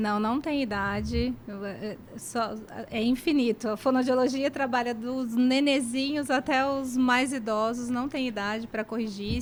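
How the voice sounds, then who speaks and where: High-pitched female speech at a moderate pace with ordinary pitch variation, a very clean recording with a silent background. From Brazil, Cuiabá. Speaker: speech therapist and professor. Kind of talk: radio interview.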